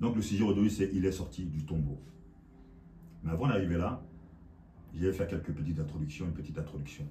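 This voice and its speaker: A man with a very deep, low pitch, vocal fry and a dark, mellow tone speaks at a fairly quick pace with lively intonation and long, frequent pauses, amid audible room echo. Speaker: preacher. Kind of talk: sermon.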